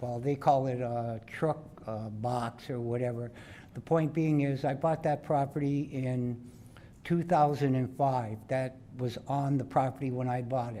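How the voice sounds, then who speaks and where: The tone is dark and mellow, with fairly even intonation. It moves at a fairly slow pace amid audible room echo. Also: man, medium pitch for a man. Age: 70s. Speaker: local resident. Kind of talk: public address at council meeting. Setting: council chamber podium. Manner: halting.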